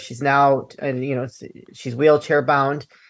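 Recorded very cleanly against a silent background, a woman with an American accent speaks at a fairly quick pace in a very deep, low, monotone voice with vocal fry. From Chicago suburbs, US Midwest. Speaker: podcast host and anti-trafficking advocate. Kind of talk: interview conversation.

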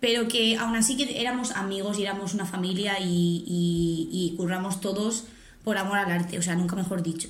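A woman at medium pitch talks at a moderate pace with fairly even intonation. Her voice is somewhat breathy, and audible room echo is present. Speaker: podcast co-host. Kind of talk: casual chat.

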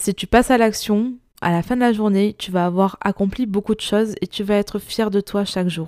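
A woman with a dark, mellow tone, fairly even intonation and a moderate pace, in a very clean recording with a silent background and a dry, close sound with no echo. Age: 20s. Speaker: podcast host, digital communication entrepreneur. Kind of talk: solo podcast monologue.

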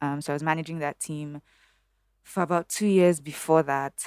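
A woman's very deep, low voice with fairly even intonation, dry and close with no echo, on a very clean recording over a silent background. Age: 30s. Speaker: bank strategy lead. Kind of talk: casual interview chat. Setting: studio. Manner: clear diction.

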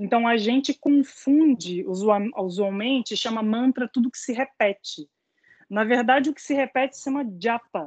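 An unremarkable speaking voice goes at a fairly slow pace with big swings in loudness, in a dry, close sound with no echo. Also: woman, fairly high pitch for a woman, ordinary pitch variation. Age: 30s. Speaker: music educator. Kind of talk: online panel conversation.

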